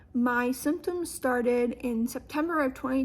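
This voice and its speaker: The recording is very clean with a silent background. A woman with an American accent talks at a moderate pace in a high pitch. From US, Western Maryland. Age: young. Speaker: student with a neurological disorder. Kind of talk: audition video, personal testimony.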